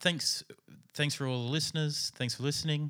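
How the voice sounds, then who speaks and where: In a very clean recording with a silent background, a man with an Australian accent speaks at a fairly quick pace in a bright, sharp tone. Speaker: podcast host. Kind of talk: fictional comedy podcast interview. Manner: halting.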